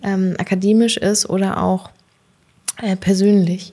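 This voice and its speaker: A woman speaks at a fairly slow pace in a dark, mellow tone. Her intonation stays monotone and flat. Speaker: podcast host. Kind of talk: interview. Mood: warm, smiling. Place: office. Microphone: studio mic.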